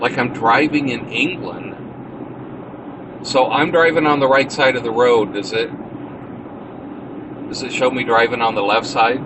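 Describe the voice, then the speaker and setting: With noticeable background noise behind him, a medium-pitched man speaks at a moderate pace with ordinary pitch variation and long, frequent pauses. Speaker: live streamer. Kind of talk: casual live stream chat while driving. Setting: in a car. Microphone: cell phone.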